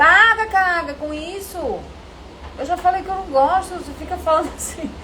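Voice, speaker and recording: A woman's put-on character voice, extremely high-pitched and guttural, at a moderate pace with ordinary pitch variation and light background noise. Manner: tongue-tied speech, R sounds as G.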